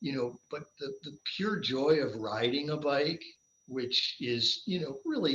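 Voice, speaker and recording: A man speaks at a fairly slow pace with medium pitch. He has a normal speaking voice. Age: 60s. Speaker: endurance athlete, triathlete. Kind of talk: casual interview chat.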